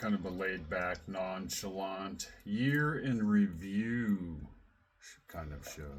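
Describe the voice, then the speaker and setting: Speaking at a very slow pace, a man with a fairly low pitch is heard with audible room echo. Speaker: radio show host and researcher. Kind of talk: casual chat. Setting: live radio show linked by call.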